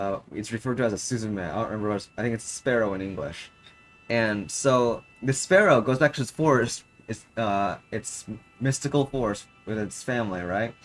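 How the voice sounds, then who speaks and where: With noticeable background noise behind him, a man with a Japanese accent speaks at a moderate pace and medium pitch, with ordinary pitch variation. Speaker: gaming streamer. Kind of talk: casual livestream commentary. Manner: halting.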